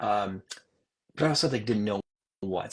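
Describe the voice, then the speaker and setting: A man speaks in a plain, everyday voice, fairly low in pitch, with lively intonation and an American accent. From Upstate New York. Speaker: Air Force veteran and media executive. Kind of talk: interview. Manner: casual, filler-heavy.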